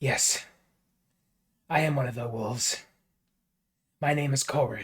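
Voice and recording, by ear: A man puts on a character voice at a medium pitch. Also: moderate pace.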